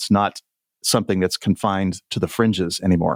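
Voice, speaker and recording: In a very clean recording with a silent background, a man has a normal speaking voice, a fairly low pitch and fairly even intonation, the sound dry and close with no echo. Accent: American. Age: 60s. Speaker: author and former cult member. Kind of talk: interview.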